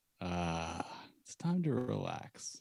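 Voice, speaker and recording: A man puts on a character voice that is husky and very deep, with a low pitch. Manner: slow, relaxed.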